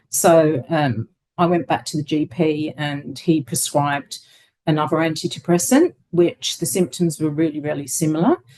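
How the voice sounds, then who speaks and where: A woman talks at a very deep, low pitch in a dark, mellow tone. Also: ordinary pitch variation, moderate pace. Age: 60s. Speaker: interviewee sharing lived experience. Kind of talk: interview testimony. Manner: hesitant, many fillers.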